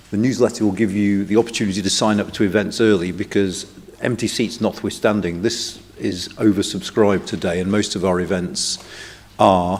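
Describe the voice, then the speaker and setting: A man speaks at a fairly quick pace in a fairly low pitch, with noticeable background noise. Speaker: think tank director opening a conference. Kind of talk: welcome speech.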